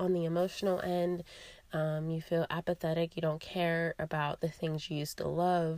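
At a moderate pace, a raspy woman with a fairly low pitch speaks in a monotone, flat intonation. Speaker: podcast host, yoga teacher and wellness coach. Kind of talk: solo wellness podcast monologue.

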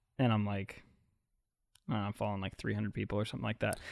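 Taking long, frequent pauses, a man speaks at a fairly low pitch in a dry, close sound with no echo. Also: very clean recording, silent background. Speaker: podcast co-host. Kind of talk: casual comedic chat. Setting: studio, live streamed. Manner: loud; animated.

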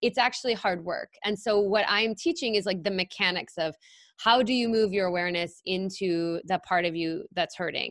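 An unremarkable speaking voice from a woman, medium pitch, ordinary pitch variation, moderate pace, dry and close with no echo. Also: very clean recording, silent background. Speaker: psychotherapist and podcast host. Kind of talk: interview conversation.

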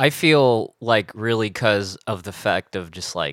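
In a normal speaking voice, a man talks at medium pitch and a fairly slow pace with ordinary pitch variation, recorded very cleanly against a silent background with a dry, close sound and no echo. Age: 20s. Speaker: bassist in a band. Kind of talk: casual interview.

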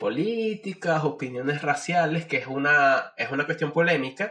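A man with an ordinary speaking voice talks at a fairly slow pace. His pitch varies in an ordinary way. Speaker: biologist, doctoral candidate. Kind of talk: casual chat.

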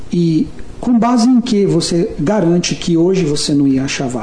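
A man's high voice swings very widely in pitch, with audible room echo and noticeable background noise. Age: 40s. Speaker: communication and persuasion trainer, author. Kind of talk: casual chat. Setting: hosts' office.

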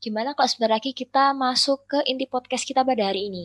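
With ordinary pitch variation, the woman's speech runs at a fairly quick pace. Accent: strong Surabaya. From Indonesia, Surabaya (East Java). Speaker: student podcast co-host. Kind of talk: casual chat.

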